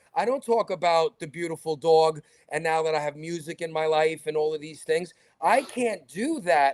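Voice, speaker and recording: A man speaks with a New York accent at a moderate pace, his pitch fairly high with ordinary variation. The recording is very clean, with a silent background and a dry, close sound with no echo. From New York, Brooklyn. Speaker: talk show host. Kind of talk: interview conversation. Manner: animated.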